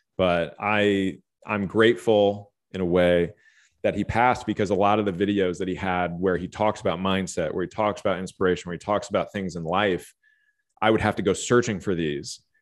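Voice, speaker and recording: In a very clean recording with a silent background, a man with an American accent speaks at a fairly quick pace in an unremarkable speaking voice, his pitch fairly low and his intonation fairly even. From Los Angeles, later Austin, Texas. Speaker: life and fitness coach. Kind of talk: casual interview chat.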